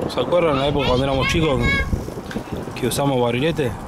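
A man speaks with fairly even intonation. The sound is dry with no echo, and crowd noise runs in the background. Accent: Cordoban Argentine. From Argentina, interior of Córdoba. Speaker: motorcycle travel vlogger. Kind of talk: casual travel vlog narration. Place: street. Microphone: phone near.

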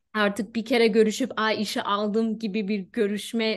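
Against a quiet background, a woman talks at a moderate pace with a fairly high pitch. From Germany (Turkish-German). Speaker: HR specialist; guest. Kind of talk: casual interview. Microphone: video call.

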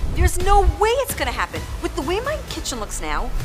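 A woman speaks at a fairly quick pace. Clear music plays in the background. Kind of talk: interview answer. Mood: anxious, overwhelmed, wry laughter. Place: kitchen.

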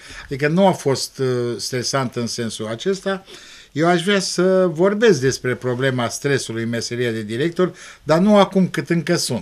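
This man's fairly high voice moves through very wide pitch swings at a fairly slow pace. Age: 60s. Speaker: school principal; guest. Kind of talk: TV interview. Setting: TV studio. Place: studio. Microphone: studio mic.

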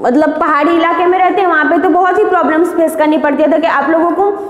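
A woman's extremely high-pitched voice with audible room echo. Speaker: teacher. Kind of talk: lecture. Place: classroom. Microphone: camera far.

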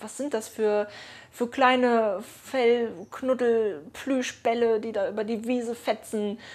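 A woman speaks in a fairly high voice with fairly even intonation. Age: 20s. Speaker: dog owner and YouTuber; YouTuber. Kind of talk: casual vlog monologue; casual vlog chat. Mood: calm, warm storytelling. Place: home room.

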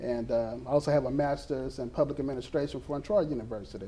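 This man has an Alabama accent. His pitch sits fairly high and varies in an ordinary way. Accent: US Southern (Alabama). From Mobile, Alabama. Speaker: school resource officer. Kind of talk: interview. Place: studio. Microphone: lapel.

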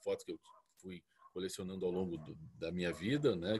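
Talking at a fairly quick pace, a man uses an ordinary speaking voice pitched fairly low. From Curitiba, southern Brazil; Paraná, Brazil. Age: 40s. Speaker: dog breeder. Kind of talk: lecture. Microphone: earbuds.

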